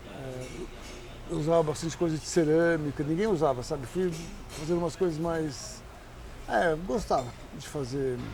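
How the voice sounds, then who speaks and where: A man with a fairly high pitch speaks at a moderate pace with ordinary pitch variation, big swings in loudness, long and frequent pauses, and audible room echo. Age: 70s. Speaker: chef and restaurant owner. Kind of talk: interview. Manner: halting.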